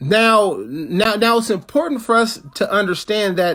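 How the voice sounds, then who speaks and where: A man is speaking. His pace is moderate. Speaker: activist campaign chair. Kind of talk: political talk. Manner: halting, many repetitions.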